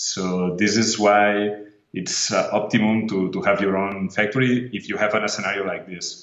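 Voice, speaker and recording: Audible room echo follows a man with a fairly low pitch. He speaks at a moderate pace in a flat monotone. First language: Spanish or Catalan. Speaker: tech company CEO. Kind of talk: interview. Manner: halting.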